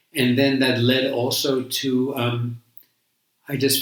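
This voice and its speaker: A man speaks in a medium pitch with an American accent. His intonation stays monotone and flat. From New York. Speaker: Buddhist monk. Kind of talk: interview, life story. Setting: sitting together in person. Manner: halting, many fillers.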